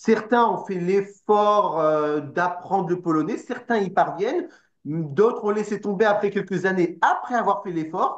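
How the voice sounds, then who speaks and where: A man's high-pitched voice with a Parisian accent, a fairly slow pace, ordinary pitch variation and a quiet background. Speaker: political party representative. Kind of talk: interview.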